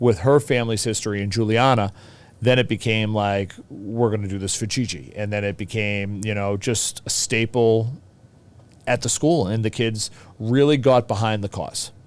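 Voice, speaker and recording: The speaker has a Boston accent and ordinary pitch variation. The pace is moderate. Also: man, fairly low pitch for a man. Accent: thick Boston. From Boston, US. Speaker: teacher. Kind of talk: casual chat.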